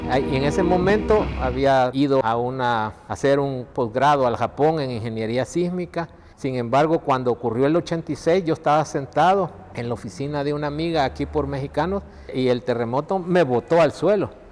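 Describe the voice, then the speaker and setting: At a moderate pace, a man with a fairly high pitch and ordinary pitch variation talks in a normal speaking voice. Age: 60s. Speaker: seismic engineer. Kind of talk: documentary interview.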